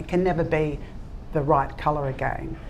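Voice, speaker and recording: Amid noticeable background noise and audible room echo, a woman with an Australian accent speaks with fairly even intonation. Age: 60s. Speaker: ceramics brand founder. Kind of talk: panel talk answering audience questions. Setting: live event with audience.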